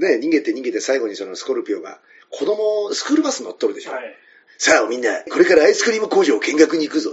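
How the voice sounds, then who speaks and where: The delivery is very fast and animated. Loudness swings widely throughout. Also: man. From Tokyo, Koto ward (Kameido). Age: 40s. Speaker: comedian. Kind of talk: casual chat. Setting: restaurant.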